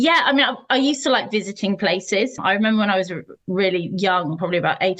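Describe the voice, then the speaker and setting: Someone speaks with a British accent at a very fast pace, the intonation lively. Noticeable background noise can be heard. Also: woman. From southern England, Sussex. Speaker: historian and author. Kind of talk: podcast interview.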